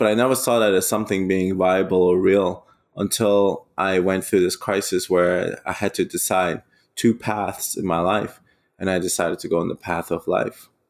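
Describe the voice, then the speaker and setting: At a moderate pace, a man with a German accent speaks in a fairly low pitch and fairly even intonation. The recording is very clean, with a silent background. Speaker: eco adventurer. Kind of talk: casual interview storytelling.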